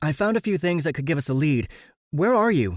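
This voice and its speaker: Putting on a character voice, a man talks at a fairly quick pace in a fairly high pitch with very wide pitch swings, on a very clean recording with a silent background. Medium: read story. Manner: clipped, tense.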